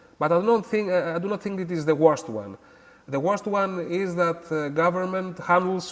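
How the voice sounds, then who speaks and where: Moderate pace and ordinary pitch variation in a Greek accent, over noticeable background noise. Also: man. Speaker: academic guest. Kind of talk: interview. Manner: halting, many hesitations.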